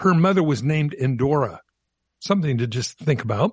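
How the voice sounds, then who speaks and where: A man speaks at a moderate pace with a fairly high pitch and lively intonation, his voice somewhat breathy. The sound is dry and close with no echo, over a quiet background. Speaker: radio host. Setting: studio.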